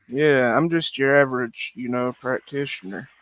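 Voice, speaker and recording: Recorded dry and close with no echo, a man with a rural US accent speaks at a moderate pace, medium in pitch, with fairly even intonation. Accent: regional rural US. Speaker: live streamer. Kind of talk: casual chat.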